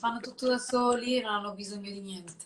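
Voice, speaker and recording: A woman is speaking. Her pace is very fast. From northern Italy, Lombardy (Sesto San Giovanni, Desio). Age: 20s. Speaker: fashion model. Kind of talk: casual interview. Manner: halting.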